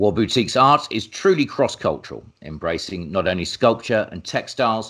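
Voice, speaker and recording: At a fairly low pitch with vocal fry, a man speaks at a moderate pace with lively intonation. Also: very clean recording, silent background. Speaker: interviewer.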